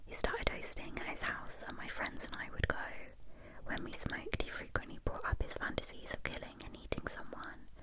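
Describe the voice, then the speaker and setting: Whispering at a fairly quick pace, a woman with a British accent can be heard over noticeable background noise. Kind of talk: ASMR story reading. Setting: binaural microphone. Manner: whispered.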